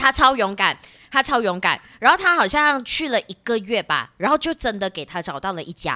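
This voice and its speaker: On a dry, close recording with no echo, a woman speaks at a moderate pace in a fairly high, bright, sharp voice, with very wide pitch swings and big swings in loudness. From Malaysia. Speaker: podcaster with broadcasting background. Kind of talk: casual chat. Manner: radio-announcer style delivery.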